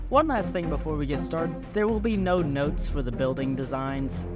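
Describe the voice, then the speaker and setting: Music can be heard behind this recording. The man in it talks at a fairly quick pace. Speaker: hobbyist story narrator. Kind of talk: casual talk to camera.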